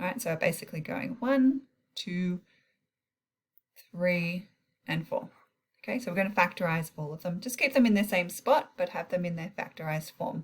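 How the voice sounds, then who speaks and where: At a moderate pace, the somewhat breathy speaker uses lively intonation and takes long, frequent pauses. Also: woman, medium pitch for a woman. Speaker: maths teacher. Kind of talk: tutorial.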